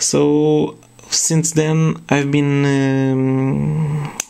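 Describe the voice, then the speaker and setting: A man speaks with a non-native accent. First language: not English. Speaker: retro game collector, YouTuber. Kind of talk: casual video monologue. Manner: halting, many fillers.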